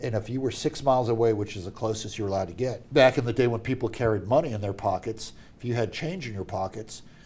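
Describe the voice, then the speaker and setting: A man speaks very fast in a medium pitch with ordinary pitch variation. His tone is dark and mellow, and somewhat breathy. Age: 60s. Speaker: middle school teacher, former NASA worker. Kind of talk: casual chat. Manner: animated.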